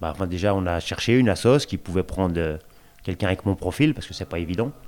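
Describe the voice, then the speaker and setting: Very low, deep pitch from a man, varying in an ordinary way. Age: 40s. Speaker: resident on prison day release. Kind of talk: interview, personal testimony. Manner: casual, colloquial, hesitant.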